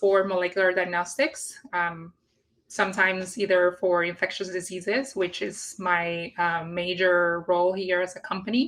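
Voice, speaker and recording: Speaking at a fairly slow pace with a Puerto Rican accent, a woman has a medium pitch and a bright, sharp tone. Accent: Puerto Rican Spanish accent, rolled R's. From Puerto Rico. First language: Spanish. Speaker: industry scientist, guest. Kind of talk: live career interview. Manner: hesitant, many fillers.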